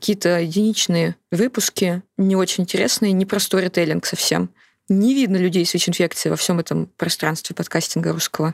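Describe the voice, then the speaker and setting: Speaking very fast, a woman with a fairly low pitch, vocal fry and ordinary pitch variation is captured in a dry, close sound with no echo. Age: 30s. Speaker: journalist and HIV activist. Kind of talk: interview conversation.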